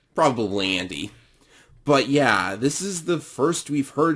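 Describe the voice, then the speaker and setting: Speaking fairly slowly, a man uses lively intonation. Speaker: gaming youtuber. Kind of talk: casual video commentary. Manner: hesitant, with fillers.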